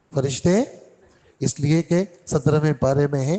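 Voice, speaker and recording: Fairly high-pitched yet dark and mellow in tone, a man speaks with ordinary pitch variation. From Karachi, Pakistan. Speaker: Islamic scholar giving a Quran lesson. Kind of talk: religious lecture (Quran exegesis). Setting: mosque lesson.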